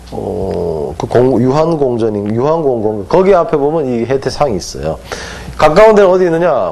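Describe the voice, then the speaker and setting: A man talks at a fairly slow pace with a slight Gangwon accent, his tone animated and his pitch swinging very widely. Noticeable background noise and audible room echo surround him. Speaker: hanja teacher. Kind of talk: lecture. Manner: animated, asks students questions.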